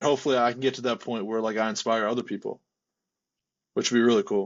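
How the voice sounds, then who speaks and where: A man talks at a very fast pace with an American accent. His pitch is medium, with ordinary pitch variation. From US Northeast, Delaware County, Pennsylvania. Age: 20s. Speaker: powerlifter and coach. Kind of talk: casual interview chat. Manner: casual, filler-heavy with repetitions.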